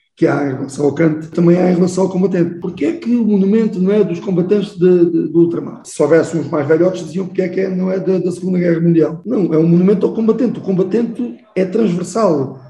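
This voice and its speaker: This man's voice sits high, with ordinary pitch variation and hardly any pauses. Noticeable noise runs in the background. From Portugal, Garvão (Baixo Alentejo). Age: 60s. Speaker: military officer and choir singer. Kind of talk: interview conversation.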